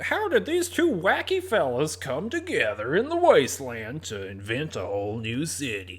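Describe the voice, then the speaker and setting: A man uses a put-on character voice at a medium pitch. He speaks at a moderate pace. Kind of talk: announcer, promotional. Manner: peppy, showy.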